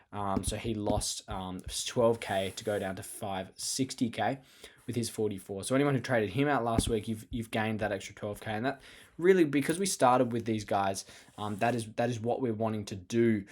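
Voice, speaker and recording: With an Australian accent, a man speaks with ordinary pitch variation. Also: fairly low pitch for a man. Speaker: fantasy sports podcast host. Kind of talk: solo podcast talk. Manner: fast.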